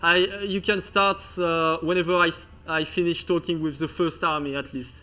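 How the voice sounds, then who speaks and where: A man speaks in a strong Breton accent at a moderate pace, his pitch high. His tone is bright and sharp, and his intonation stays fairly even. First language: French. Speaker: video game commentator. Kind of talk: live commentary. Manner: halting, many fillers.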